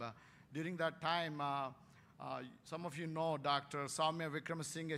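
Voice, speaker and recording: At a moderate pace, a man with an Indian accent talks in a bright, sharp tone. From India, Warangal, Telangana. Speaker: veterinary scientist, keynote speaker. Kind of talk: keynote lecture. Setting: conference stage with audience. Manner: hesitant, many fillers.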